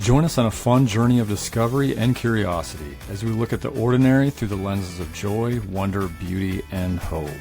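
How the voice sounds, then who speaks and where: A man's fairly low voice at a fairly quick pace, lively in intonation, with music in the background. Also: hardly any pauses. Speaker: podcast host. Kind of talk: podcast intro.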